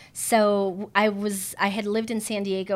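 An American accent is heard here. The background is silent and the recording very clean. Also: woman. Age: 40s. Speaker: handbag designer and emcee. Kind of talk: casual interview chat. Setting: home. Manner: animated.

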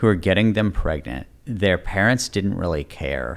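On a very clean recording with a silent background, a man in a plain, everyday voice talks at a fairly slow pace with fairly low pitch and lively intonation. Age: 40s. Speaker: politician and author. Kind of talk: interview conversation.

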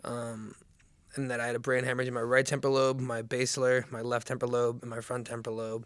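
A man's medium-pitched voice, monotone and flat, at a fairly quick pace. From New Jersey. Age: 20s. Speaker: author and brain injury survivor. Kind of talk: casual interview, personal story.

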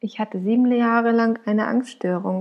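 A warm tone with fairly even intonation. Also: woman. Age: 20s. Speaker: podcaster sharing her anxiety disorder story. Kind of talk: personal monologue, podcast intro. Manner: unscripted, spontaneous with fillers; warm, emotional.

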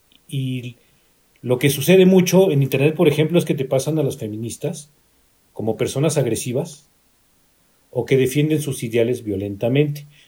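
Somewhat breathy and dark, mellow in tone, a man's fairly high voice moves at a moderate pace with ordinary pitch variation and long, frequent pauses. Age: 50s. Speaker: guest. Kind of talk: casual chat.

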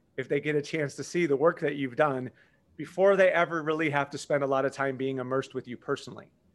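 A man's fairly high, fairly quick voice, an unremarkable speaking voice with ordinary pitch variation, in a very clean recording with a silent background. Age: 50s. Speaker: marketing entrepreneur. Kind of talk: podcast interview.

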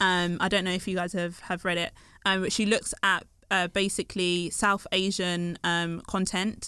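Her voice is at a medium pitch for a woman, delivered with monotone, flat intonation. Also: moderate pace, very clean recording, silent background. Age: 20s. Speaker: PhD researcher. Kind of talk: casual chat.

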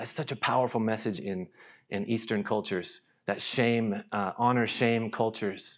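This is a man with an ordinary speaking voice and an American accent, pitched fairly low. He talks at a moderate pace with ordinary pitch variation in a very clean recording with a silent background. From US South, North Carolina. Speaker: missionary. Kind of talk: church talk. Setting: church stage with audience.

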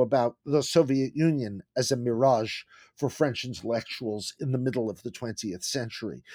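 In a very clean recording with a silent background and a dry, close sound with no echo, a man with an American accent speaks in a normal speaking voice at medium pitch, with ordinary pitch variation and a moderate pace. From United States. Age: 60s. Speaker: history professor. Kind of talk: interview.

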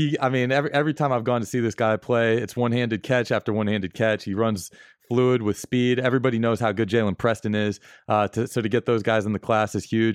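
A man speaks very fast at medium pitch, with fairly even intonation and very even loudness. The sound is dry and close with no echo, and the background is quiet. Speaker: football recruiting analyst. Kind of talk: casual sports chat.

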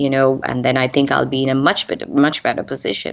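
This voice belongs to a woman. It is pitched very deep and low. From India. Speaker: tech training company founder. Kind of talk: interview. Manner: hesitant, many fillers.

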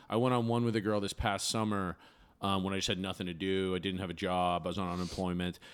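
On a very clean recording with a silent background, a man talks very fast. His very deep, low voice keeps a fairly even intonation. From Maine. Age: 30s. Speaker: comedian. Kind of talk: casual chat.

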